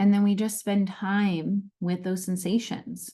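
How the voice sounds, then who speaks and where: Over a quiet background, a woman speaks at a very slow pace and a medium pitch. Her tone is dark, mellow and somewhat breathy. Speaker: life coach and podcast host. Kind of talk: guided grounding practice and live stream talk. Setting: live stream. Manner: soft-spoken.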